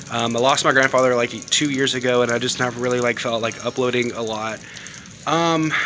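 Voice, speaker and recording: A man at medium pitch and a fairly quick pace, with noticeable background noise. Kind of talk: casual vlog talk to camera.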